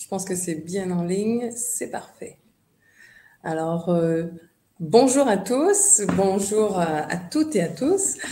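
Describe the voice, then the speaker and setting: Speaking at a very slow pace with long, frequent pauses, a woman uses a medium pitch and big swings in loudness. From Quebec, Montreal. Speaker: tourism board representative. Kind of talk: online presentation. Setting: video call webinar. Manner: hesitant, many fillers.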